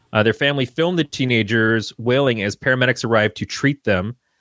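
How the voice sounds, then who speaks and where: With an American accent and an ordinary speaking voice, a man talks at a fairly quick pace with ordinary pitch variation in a very clean recording with a silent background and a dry, close sound with no echo. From Michigan. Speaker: podcast guest co-host. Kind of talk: casual chat.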